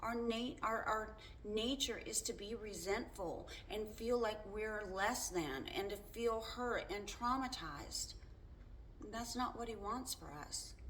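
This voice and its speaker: At a very slow pace, a woman speaks in a fairly high voice with ordinary pitch variation, with audible room echo around her. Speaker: faith vlogger. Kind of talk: casual monologue. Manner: loud; halting.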